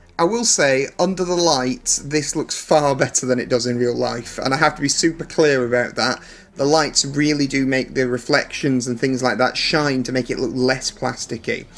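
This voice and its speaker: A man talks at a moderate pace with hardly any pauses. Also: ordinary pitch variation. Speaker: collectible figure reviewer. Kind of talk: product comparison review. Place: home room. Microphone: phone near.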